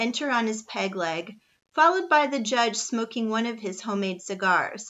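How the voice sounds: Natural reading voice.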